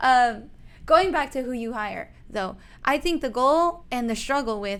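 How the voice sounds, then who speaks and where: A woman with a non-native accent and lively intonation. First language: not English. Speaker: real estate agent, podcast co-host. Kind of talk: casual chat.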